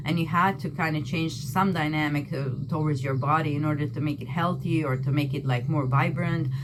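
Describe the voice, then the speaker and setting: With a non-native accent, a woman with a very deep, low pitch speaks at a moderate pace amid audible room echo and noticeable background noise. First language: not English. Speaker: tarot and astrology reader. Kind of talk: tarot reading. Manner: casual, conversational with fillers.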